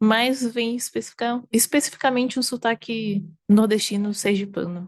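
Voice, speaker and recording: The sound is dry and close, with no echo and a quiet background. A woman speaks at a moderate pace. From Northeast Brazil, Aracaju, Sergipe. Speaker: variety game streamer. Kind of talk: interview conversation. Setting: at her home.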